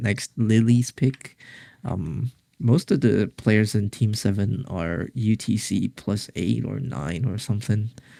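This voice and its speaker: Very slow speech from a man with a non-native accent, fairly low pitch, ordinary pitch variation, vocal fry and a dark, mellow tone, dry and close with no echo. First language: not English. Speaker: esports tournament commentator. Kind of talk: live commentary. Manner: halting, many repeated words.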